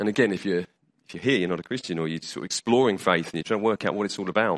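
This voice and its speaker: A man with a British accent speaks at a fairly low pitch with ordinary pitch variation. The sound is dry and close with no echo, over a quiet background. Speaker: preacher. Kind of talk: sermon. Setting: church. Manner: conversational, hesitant with fillers.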